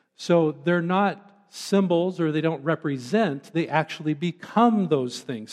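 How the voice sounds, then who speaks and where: A man speaks in an ordinary speaking voice at a fairly slow pace with ordinary pitch variation. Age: 50s. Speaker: pastor. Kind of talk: sermon.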